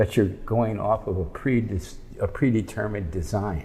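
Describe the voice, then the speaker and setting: Somewhat breathy, a man's voice at medium pitch carries a dark, mellow tone. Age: 80s+. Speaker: wood sculptor. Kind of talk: casual interview.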